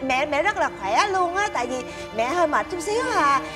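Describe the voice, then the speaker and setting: Clear music plays in the background as a woman talks at a moderate pace. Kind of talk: acted drama dialogue. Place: home room.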